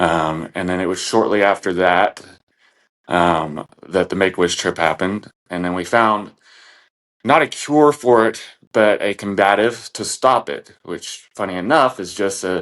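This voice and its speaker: In a very clean recording with a silent background, a man with an American accent speaks at a moderate pace, his fairly low pitch showing ordinary variation. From Texas panhandle. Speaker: podcast guest. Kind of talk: personal story in casual interview.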